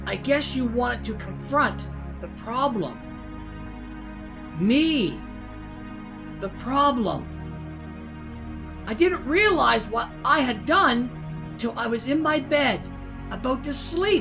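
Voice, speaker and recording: Over loud background music, a woman uses a put-on character voice at a fairly slow pace. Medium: game stream. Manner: bitter, accusing, rising to menace.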